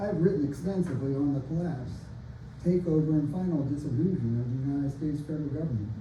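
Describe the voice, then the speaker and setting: In audible room echo, a man talks at a very fast pace with ordinary pitch variation. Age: 60s. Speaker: open mic poet and author. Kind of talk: casual introduction; reading aloud from own novel. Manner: halting with fillers.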